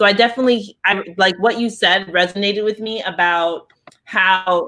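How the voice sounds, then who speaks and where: In an American accent, a woman uses an ordinary speaking voice at a medium pitch with fairly even intonation. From Nigeria and the US. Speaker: head of a diaspora organization. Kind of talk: interview conversation. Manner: casual, filler-heavy.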